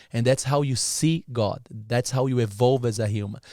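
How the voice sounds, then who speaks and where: With a dark, mellow tone and medium pitch, a man talks at a moderate pace with ordinary pitch variation. The sound is dry and close with no echo, in a very clean recording with a silent background. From Brazil. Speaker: entrepreneur, podcast guest. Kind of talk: casual interview chat. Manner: animated.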